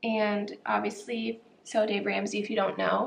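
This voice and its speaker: A woman speaks quietly at a fairly slow pace. Light background noise can be heard. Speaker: planner vlogger. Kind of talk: tutorial. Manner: casual, filler-heavy. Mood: relaxed, chatty.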